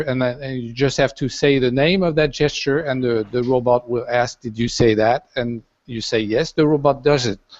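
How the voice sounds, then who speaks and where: Speaking at a moderate pace, a man with a French accent keeps his intonation fairly even. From France. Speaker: designer and sculptor building a robot. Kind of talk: panel interview. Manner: halting, many fillers.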